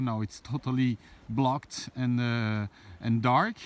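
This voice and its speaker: A man speaks with a French accent. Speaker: landscape photographer. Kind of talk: outdoor vlog tutorial. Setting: outdoors. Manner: hesitant, many fillers.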